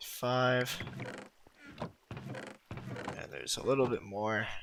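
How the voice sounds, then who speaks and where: Noticeable background noise sits behind a man who talks at a very slow pace. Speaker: gaming YouTuber. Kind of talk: gameplay commentary. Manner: stutters a lot; casual, filler-heavy.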